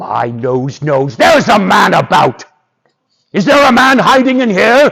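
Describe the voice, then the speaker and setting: Using a put-on character voice, a man talks at a high pitch and a fairly slow pace. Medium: stage play. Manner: gruff, blustering.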